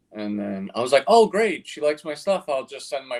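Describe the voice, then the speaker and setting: A man with a New York accent, lively intonation and a moderate pace. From Queens, New York. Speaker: cartoonist. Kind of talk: casual interview. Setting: live stream. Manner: halting, many fillers.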